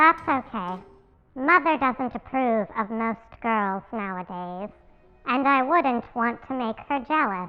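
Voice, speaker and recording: A woman adopts a put-on character voice, pitched high and paced fairly slowly. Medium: comedy sketch. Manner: soft-spoken, eerie.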